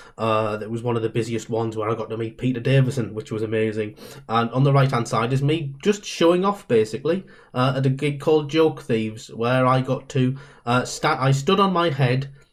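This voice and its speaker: Talking at a fairly quick pace in a Northeast English accent, a man uses a medium pitch with ordinary pitch variation. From Northeast England. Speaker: comedian. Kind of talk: guest talk.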